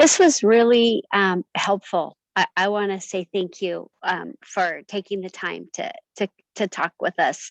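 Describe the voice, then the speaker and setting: The speech moves at a fairly slow pace with ordinary pitch variation and a dry, close sound with no echo. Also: woman, medium pitch for a woman. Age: 60s. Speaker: retired team member. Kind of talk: casual chat. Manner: halting.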